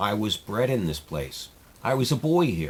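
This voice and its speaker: A man's put-on character voice, fairly low in pitch, moderate in pace, with very wide pitch swings. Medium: read story.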